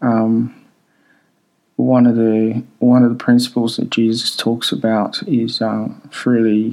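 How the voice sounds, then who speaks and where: Slowly, very slowly, a man speaks in a dark, mellow tone. His medium pitch stays monotone and flat. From Democratic Republic of the Congo. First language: not English (third language; French used at school). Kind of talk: casual personal monologue. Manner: hesitant, many filler ums.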